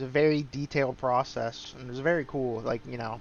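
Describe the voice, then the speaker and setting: A man speaks at a medium pitch with flat, monotone intonation. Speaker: gaming streamer. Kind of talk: gameplay commentary. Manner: slower, lower energy today. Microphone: recording a little quiet.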